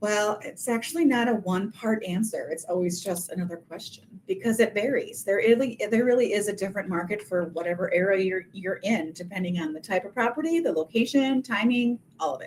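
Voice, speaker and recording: Lively intonation marks a woman speaking in an American accent at a medium pitch. Her pace is fairly quick and her loudness swings widely. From Minnesota. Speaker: realtor. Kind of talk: webinar presentation. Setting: video call webinar.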